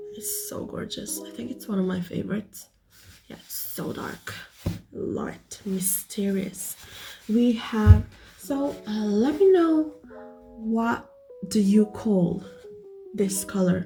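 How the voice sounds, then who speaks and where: With music in the background, a woman speaks very slowly in a non-native accent, leaving long, frequent pauses, her loudness swinging widely. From Philippines. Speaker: small business owner, vlogger. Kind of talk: casual product vlog. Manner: hesitant, with fillers.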